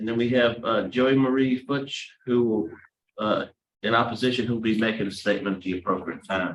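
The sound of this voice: With audible room echo, a man speaks at a fairly quick pace, his fairly low pitch held in fairly even intonation.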